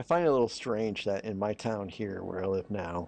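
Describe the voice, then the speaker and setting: Backed by music, a man with an American accent speaks at a medium pitch. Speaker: LEGO building livestreamer. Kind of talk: casual livestream chat.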